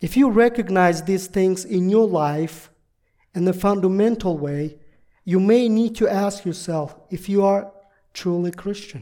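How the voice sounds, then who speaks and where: The speaker talks at a fairly slow pace with a Russian accent. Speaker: visiting pastor. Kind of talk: sermon. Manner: halting.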